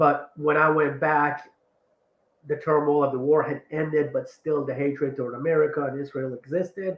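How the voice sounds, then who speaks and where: A man talks at a moderate pace. His pitch sits fairly high. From born in Iran, raised partly in the US and partly in Iran. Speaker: ADHD life coach. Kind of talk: interview conversation. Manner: animated.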